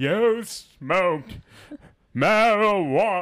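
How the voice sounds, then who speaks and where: Putting on a theatrical character voice, a man speaks at a high pitch. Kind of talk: old-Hollywood style. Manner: theatrical, overacted.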